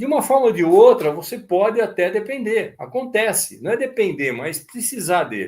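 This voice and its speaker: A man's high-pitched voice carries a lively intonation. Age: 70s. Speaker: model aircraft instructor. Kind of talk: live stream talk. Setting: live stream. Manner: casual, conversational.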